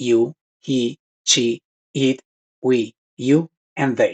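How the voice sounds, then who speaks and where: A man speaks at a medium pitch with a Spanish accent. The sound is dry and close, with no echo. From Colombia. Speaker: language teacher. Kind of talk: tutorial.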